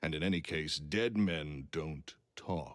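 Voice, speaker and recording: A man speaks in a booming voice with lively intonation. The recording is very clean, with a silent background. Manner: curt, dismissive.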